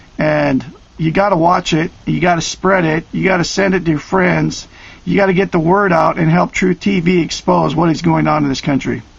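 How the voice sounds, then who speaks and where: With an American accent, a man talks at a moderate pace and very even loudness over noticeable background noise. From Oregon, US Pacific Northwest. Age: 50s. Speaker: video blogger. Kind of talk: direct-to-camera monologue. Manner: emphatic, hesitant with many uhs.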